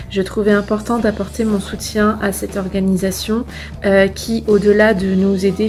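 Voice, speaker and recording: A woman speaks at a fairly slow pace in a flat monotone, with noticeable background noise. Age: 20s. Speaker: piano teacher. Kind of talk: testimonial video. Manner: hesitant, many fillers.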